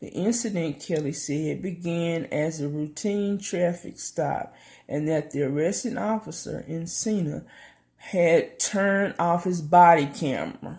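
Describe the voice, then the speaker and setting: With a Southern US accent, a woman speaks in a dark, mellow tone at a fairly low pitch. Her pace is fairly slow, and her pitch variation is ordinary. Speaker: YouTube commentator. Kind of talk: casual news commentary. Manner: hesitant, many fillers.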